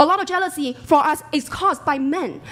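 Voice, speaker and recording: A woman's voice over noticeable background noise. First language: not English. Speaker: panel debate participant. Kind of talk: heated debate. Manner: animated.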